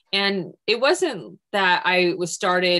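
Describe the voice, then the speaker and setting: In a quiet setting, a woman speaks with a fairly low pitch. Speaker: creative director of an art-science society. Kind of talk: panel discussion. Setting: video call. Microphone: video call.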